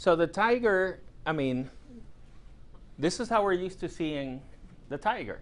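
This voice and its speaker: Lively intonation broken by long, frequent pauses, with audible room echo. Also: man, high pitch for a man. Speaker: professor. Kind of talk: lecture. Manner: conversational with fillers and repetitions.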